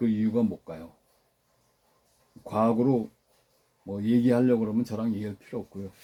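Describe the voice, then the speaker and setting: In a dark, mellow tone, the speaker moves at a fairly quick pace yet leaves long, frequent pauses. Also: man, medium pitch for a man. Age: 70s. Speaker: alternative health practitioner. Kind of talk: health talk. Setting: smoke from burning mugwort in room. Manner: animated.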